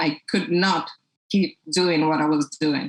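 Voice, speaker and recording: Speaking with a Portuguese accent, a woman talks at a fairly slow pace. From Brazil. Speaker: toy company founder. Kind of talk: podcast interview.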